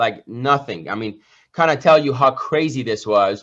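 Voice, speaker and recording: In a Persian accent, a man with a fairly high pitch speaks at a moderate pace with lively intonation over a quiet background. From Iran. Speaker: entrepreneur and business coach. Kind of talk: motivational talk. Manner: animated.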